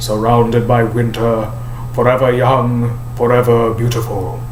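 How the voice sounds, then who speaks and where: A man puts on a character voice at a medium pitch, speaking at a fairly slow pace over clear background noise. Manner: slow, cold.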